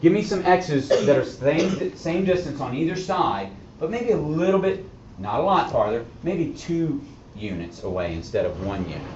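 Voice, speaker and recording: Noticeable background noise and audible room echo around a man talking at a moderate tempo. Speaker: math teacher. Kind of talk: classroom lecture.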